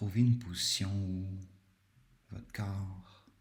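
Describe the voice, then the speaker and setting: This man speaks at a very slow pace in a very deep, low pitch. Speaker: meditation guide. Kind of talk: guided sleep meditation. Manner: soft-spoken, slow.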